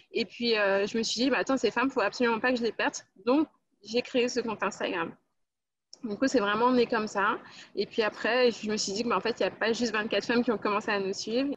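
A woman with a plain, everyday voice speaks at a fairly high pitch with fairly even intonation against a quiet background. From France, Guadeloupean family. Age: 20s. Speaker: employment counsellor and women's platform creator. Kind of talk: casual interview chat.

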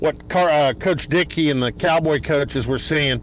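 A man with a Texan accent talks at a fairly high pitch with fairly even intonation. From Texas, Dallas area. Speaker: sports radio host. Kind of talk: interview.

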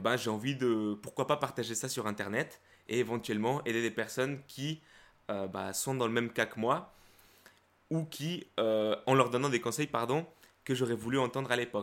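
The recording is very clean, with a silent background. A man of medium pitch speaks at a moderate pace with ordinary pitch variation. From Guatemala, moved to France at 12. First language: Spanish (speaking French). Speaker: YouTuber, self-confidence coach. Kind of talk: casual interview chat.

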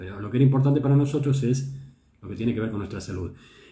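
The voice is somewhat breathy. Room echo can be heard. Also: man. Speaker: traditional Chinese medicine teacher and show host. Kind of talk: lecture. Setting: live stream.

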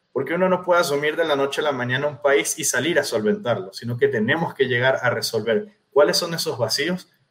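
A man speaks at a high pitch and a fairly quick pace. His intonation is lively. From Venezuela. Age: 30s. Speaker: political candidate. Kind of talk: interview.

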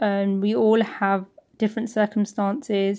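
In a British accent, a woman speaks at a fairly high pitch with fairly even intonation on a very clean recording over a silent background. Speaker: school teacher. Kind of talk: interview.

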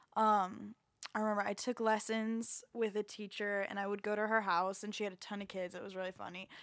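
A woman's medium-pitched voice in an American accent, fairly quick in pace and monotone, flat in intonation. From Florida, Jacksonville. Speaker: singer and voice teacher. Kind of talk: casual chat.

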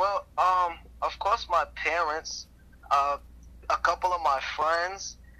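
A man with a New York accent speaks at a very slow pace. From Brooklyn, New York. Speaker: rapper. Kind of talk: interview.

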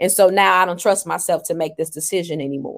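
Recorded very cleanly with a silent background, a woman with an unremarkable speaking voice talks at a medium pitch with fairly even intonation. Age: 40s. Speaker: life coach and author. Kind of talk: interview.

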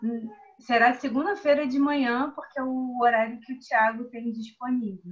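Ordinary pitch variation at a moderate pace. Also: woman, high pitch for a woman. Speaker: member of a reading/study group. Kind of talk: casual group discussion. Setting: video call.

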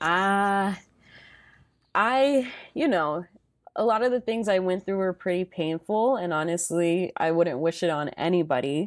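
In an ordinary speaking voice, a woman talks at a fairly slow pace and medium pitch with lively intonation. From US, Salvadoran immigrant family. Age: 20s. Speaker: corporate finance worker and content creator. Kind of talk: casual interview chat.

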